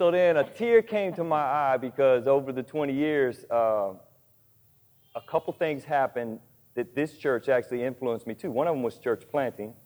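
A man's fairly high voice with lively intonation, at a moderate pace. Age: 40s. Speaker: pastor and church planter. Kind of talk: sermon. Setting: church.

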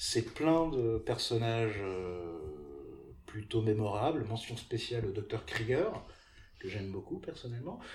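With long, frequent pauses, a man speaks at a medium pitch in a somewhat breathy voice with ordinary pitch variation. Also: fairly slow pace. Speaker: podcast host. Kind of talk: casual chat; scripted narration.

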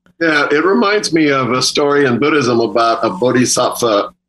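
At a moderate pace, an unremarkable speaking voice comes through with lively intonation. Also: man. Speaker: guest speaker on Buddhism and values. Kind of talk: casual discussion.

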